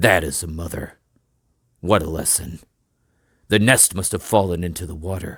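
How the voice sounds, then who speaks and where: A raspy put-on character voice from a man, very deep and low in pitch, at a moderate pace with long, frequent pauses. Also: very clean recording, silent background. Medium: read story.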